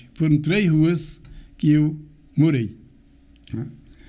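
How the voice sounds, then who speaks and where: Audible room echo surrounds a man's dark, mellow tone. He speaks at a fairly slow pace. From Brazil, Garanhuns, Pernambuco (Northeast). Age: 80s+. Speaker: local community elder and author. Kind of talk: interview, life story telling.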